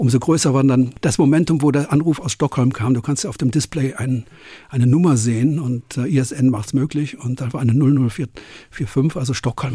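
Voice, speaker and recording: A man speaks at a medium pitch with a dark, mellow tone. His voice is somewhat breathy, and its pitch varies in an ordinary way. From western Germany (Cologne area, NRW). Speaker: concert promoter. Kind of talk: interview.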